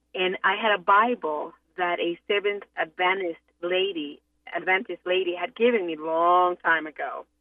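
At a moderate pace, a woman with a medium pitch and fairly even intonation speaks in a normal speaking voice. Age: 50s. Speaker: caller. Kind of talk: testimony.

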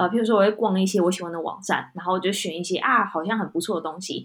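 The voice carries a Taiwanese accent and ordinary pitch variation. The recording is very clean, with a silent background. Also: woman. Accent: Taiwanese Mandarin. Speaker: podcast co-host. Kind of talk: casual chat.

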